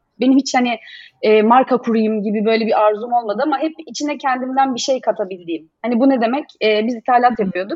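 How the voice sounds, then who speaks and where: Her voice sits high in pitch for a woman. The pitch varies in an ordinary way. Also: fairly quick pace. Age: 30s. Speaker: business founder and designer. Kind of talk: casual interview. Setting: video call.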